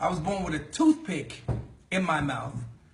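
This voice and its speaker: Someone with a New York accent sounds animated over noticeable background noise, with audible room echo. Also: man. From New York City, the Bronx. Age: 40s. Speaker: network marketing leader. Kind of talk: sales pitch.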